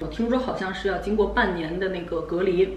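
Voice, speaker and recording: With audible room echo and light background noise, a woman talks at a fairly quick pace with lively intonation. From China. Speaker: vlogger. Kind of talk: casual chat. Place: home room.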